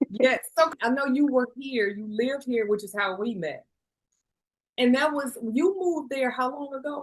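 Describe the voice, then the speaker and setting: A woman with an American accent speaks at a high pitch. Her pace is moderate, with ordinary pitch variation. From Chicago. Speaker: podcast host. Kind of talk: podcast interview.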